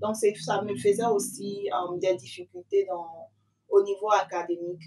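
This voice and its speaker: Ordinary pitch variation marks an ordinary speaking voice that proceeds at a fairly slow pace. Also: woman, medium pitch for a woman. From Ivory Coast. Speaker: student mother, channel host being interviewed. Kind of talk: interview answers.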